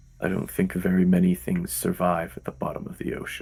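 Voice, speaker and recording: Doing a put-on character voice, a man growls in a raspy, very deep, low pitch at a fairly quick pace. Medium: actual play. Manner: terse, brooding.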